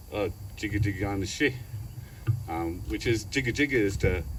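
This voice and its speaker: A man speaks with lively intonation and vocal fry. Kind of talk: public speech at art unveiling. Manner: halting, many fillers; loud.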